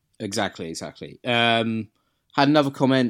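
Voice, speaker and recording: With an English accent, a man speaks at medium pitch and a moderate pace with ordinary pitch variation, on a very clean recording with a silent background. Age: 30s. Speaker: beer podcast co-host. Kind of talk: casual chat.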